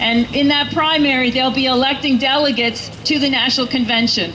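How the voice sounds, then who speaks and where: A woman with an American accent is heard over noticeable background noise, with audible room echo. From US Northeast. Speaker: political campaign volunteer speaking at rally. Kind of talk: rally speech.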